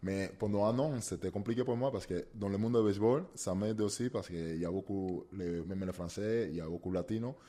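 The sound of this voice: A man with a Cuban accent speaks at a fairly quick pace in a dark, mellow tone with ordinary pitch variation. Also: fairly low pitch for a man, few pauses.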